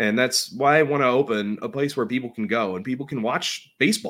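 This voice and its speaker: A man speaks at a medium pitch with a Pittsburgh accent. The recording is very clean, with a silent background. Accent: western Pennsylvania (Pittsburgh). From Pittsburgh area, western Pennsylvania. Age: 30s. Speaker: baseball superfan. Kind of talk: casual chat. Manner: halting, repeats words.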